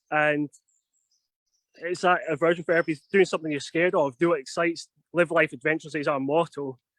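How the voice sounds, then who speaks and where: The speaker has a Scottish accent and a fairly quick pace with monotone, flat intonation. The sound is dry and close, with no echo. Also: man. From Scotland. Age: 30s. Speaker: outdoor adventure instructor. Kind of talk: live virtual tour talk. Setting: outdoors in a forest on a video stream. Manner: fast.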